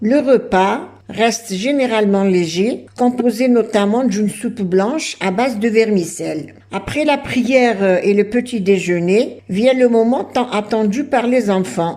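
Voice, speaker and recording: The speaker talks at a very slow pace with hardly any pauses and ordinary pitch variation. Noticeable background noise sits behind the voice. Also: woman, fairly high pitch for a woman. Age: 70s. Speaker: YouTuber on heritage and cooking. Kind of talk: narration of traditions. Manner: hesitant with fillers.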